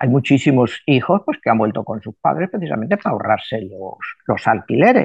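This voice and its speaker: Over a quiet background, a man talks at a fairly quick pace with very wide pitch swings and big swings in loudness. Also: medium pitch for a man. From Spain. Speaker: numerologist. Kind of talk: interview. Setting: video call.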